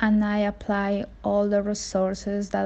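In a Spanish accent, a woman speaks at a medium pitch. The background is quiet. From Mexico, Veracruz. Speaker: community member. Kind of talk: testimony. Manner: halting.

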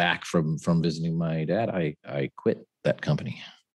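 Very deep and low, a man's voice carries the recording. He speaks with an American accent. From US West Coast, San Francisco Bay Area. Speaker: finance podcast co-host, former banker. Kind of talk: casual chat.

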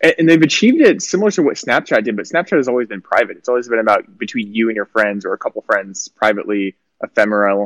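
The man talks at a very fast pace with hardly any pauses, in a dry, close sound with no echo. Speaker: podcast host. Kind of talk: casual chat. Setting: livestream call-in, outdoors in the sun.

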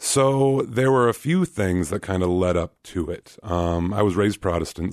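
A man with a General American accent, ordinary pitch variation and a moderate pace. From Alaska (Anchorage), born in Kansas. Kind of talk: radio interview.

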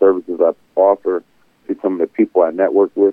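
Talking at a fairly quick pace, a man speaks in an American accent. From Buffalo, New York. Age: 40s. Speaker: entrepreneur. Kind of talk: interview.

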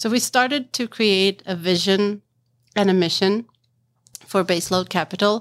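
With a Swedish accent, the speaker moves at a fairly slow pace with ordinary pitch variation and long, frequent pauses. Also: woman, medium pitch for a woman, dry, close sound with no echo, very clean recording, silent background. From Sweden, Stockholm. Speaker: marketing executive in geothermal finance. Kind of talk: interview conversation. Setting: conference venue.

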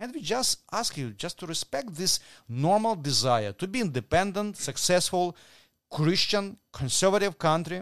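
In a Ukrainian accent, a man speaks at a high pitch and moderate pace with very wide pitch swings, in a dry, close sound with no echo and a quiet background. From Ukraine. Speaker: pro-family movement leader. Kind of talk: interview. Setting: shared mic in hotel room. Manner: halting.

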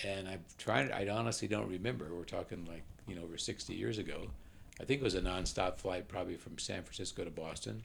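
Very fast and with lively intonation, a man with an American accent speaks in a very deep, low pitch with vocal fry and audible room echo. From US West Coast (Oakland, California). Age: 80s+. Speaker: retired statistician. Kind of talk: casual interview. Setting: at home.

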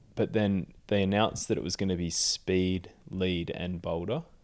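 A very clean recording with a silent background, in an Australian accent. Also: man. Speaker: professional climber and Olympic athlete. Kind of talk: casual interview.

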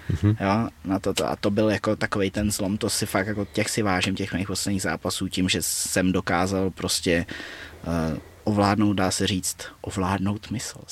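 Monotone, flat intonation comes from a man with a fairly low pitch speaking at a moderate pace. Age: 20s. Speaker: martial arts fighter and coach. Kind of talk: casual interview chat.

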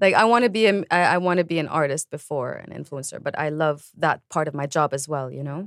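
A woman with a Lebanese accent, very deep and low in pitch, at a very fast pace with ordinary pitch variation, in a dry, close sound with no echo. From Lebanon. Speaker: singer and musician. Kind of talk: interview.

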